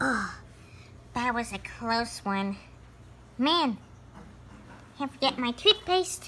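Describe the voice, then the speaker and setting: A man performs a cartoonish character voice at an extremely high pitch and a very slow pace, with long, frequent pauses and clear background noise. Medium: puppet. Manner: muttering to himself, excitable.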